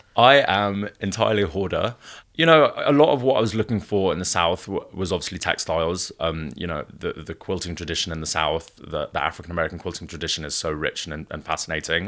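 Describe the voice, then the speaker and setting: A man's very deep, low voice racing along at a very fast pace with lively intonation, on a very clean recording with a silent background. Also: hardly any pauses. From Wales. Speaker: gallery founder. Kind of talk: interview.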